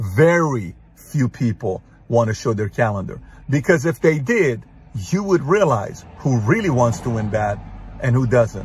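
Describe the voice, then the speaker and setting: With lively intonation and a somewhat breathy voice, a man talks at a fairly slow pace in a dry sound with no echo. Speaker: motivational speaker. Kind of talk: motivational monologue. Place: car. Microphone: phone near.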